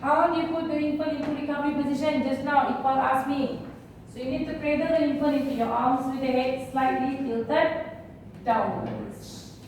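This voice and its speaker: Against noticeable background noise and audible room echo, a woman speaks at a high pitch in a monotone, flat intonation. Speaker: first aid instructor. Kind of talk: lecture. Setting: classroom. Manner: fast.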